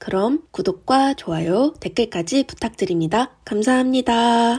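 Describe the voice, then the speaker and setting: Somewhat breathy and fairly high-pitched, this woman speaks at a fairly slow pace with lively intonation. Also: very clean recording, silent background. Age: young. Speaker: YouTuber and university student. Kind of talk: scripted vlog monologue.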